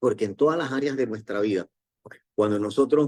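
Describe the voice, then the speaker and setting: A dark, mellow tone colors a man's medium-pitched voice. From Panama. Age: 60s. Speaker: network marketing distributor, former doctor. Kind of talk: motivational talk.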